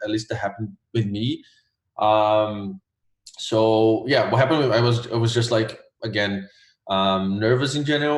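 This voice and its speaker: Somewhat breathy at a medium pitch, a man with a Portuguese accent talks at a moderate pace in a very clean recording with a silent background. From Brazil, Rio de Janeiro. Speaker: graphic designer, former test taker. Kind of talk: interview. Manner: many fillers (um, like).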